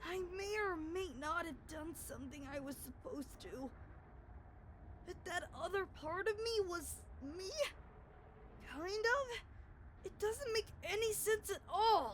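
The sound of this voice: Someone in a put-on character voice speaks at a fairly slow pace with long, frequent pauses, over clear background noise.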